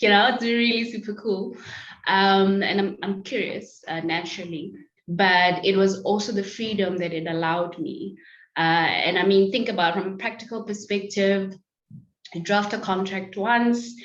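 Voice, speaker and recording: Audible room echo around a woman speaking at a medium pitch. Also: ordinary pitch variation, moderate pace. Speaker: lawyer. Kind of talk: interview. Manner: loud.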